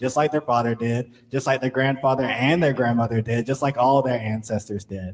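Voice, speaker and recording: Over noticeable background noise, a man talks at a fairly quick pace with hardly any pauses, a medium pitch and fairly even intonation. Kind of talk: spoken word poetry performance. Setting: live event.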